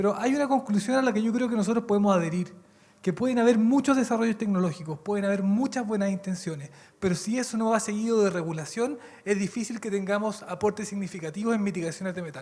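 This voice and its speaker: Someone speaks with a Chilean accent. The pace is very fast. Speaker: lawyer, university researcher, panelist. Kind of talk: conference panel talk.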